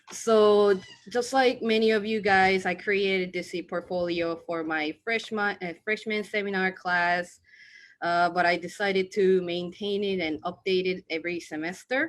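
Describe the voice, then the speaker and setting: On a very clean recording with a silent background, the speaker uses a Korean accent, fairly even intonation and a moderate pace. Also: woman, medium pitch for a woman. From South Korea. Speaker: student. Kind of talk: presentation.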